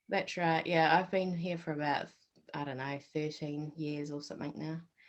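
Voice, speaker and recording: With a New Zealand accent, a woman speaks in a very deep, low voice and fairly even intonation. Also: moderate pace. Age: 40s. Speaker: accountant. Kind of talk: interview.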